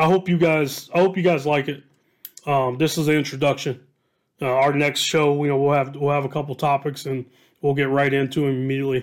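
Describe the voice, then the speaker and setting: A man speaks with an American accent at a fairly high pitch. His intonation stays monotone and flat. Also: fairly quick pace. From Southwest Ohio, Dayton. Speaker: podcast host, high school football coach. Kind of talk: casual monologue. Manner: hesitant, many fillers and repetitions.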